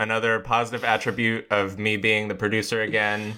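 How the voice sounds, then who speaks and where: A man's bright, sharp tone at a fairly quick pace. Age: 30s. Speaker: podcast co-host. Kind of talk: casual chat.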